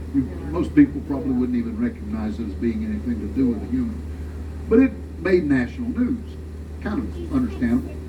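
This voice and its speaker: A man with a Southern US accent and very deep, low pitch, very fast, with ordinary pitch variation, audible room echo and noticeable background noise. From US South. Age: 70s. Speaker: tour guide. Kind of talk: guided tour commentary. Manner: animated.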